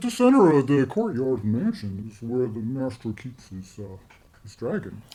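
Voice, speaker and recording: A man at a medium pitch puts on a character voice and moves along at a moderate pace. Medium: actual play. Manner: muttering, slow, dutiful.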